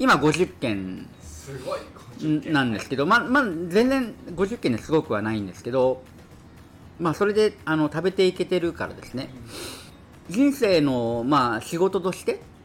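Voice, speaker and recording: A man with fairly high pitch, very wide pitch swings and a moderate pace, music playing in the background. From Kyushu. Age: 50s. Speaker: landlord and investment mentor. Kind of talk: casual interview.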